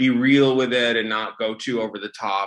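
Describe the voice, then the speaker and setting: A man with an American accent speaks at a medium pitch. His tone is bright and sharp. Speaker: film writer and director. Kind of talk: interview. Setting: video call.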